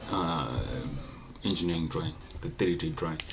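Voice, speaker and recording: A man with a non-native accent is speaking. Audible room echo and noticeable background noise are present. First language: not English. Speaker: engineering design tutor. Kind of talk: tutorial. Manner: casual, halting with self-corrections.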